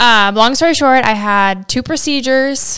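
At a moderate pace, this woman talks in a normal speaking voice, her pitch shifting in an ordinary way. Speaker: health podcast co-host. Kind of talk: casual chat.

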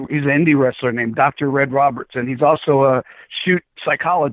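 Fairly even in intonation and fairly quick in pace, this is a normal speaking voice. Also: man. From South Florida, born in the Bronx. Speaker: wrestling ring announcer. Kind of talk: casual interview chat.

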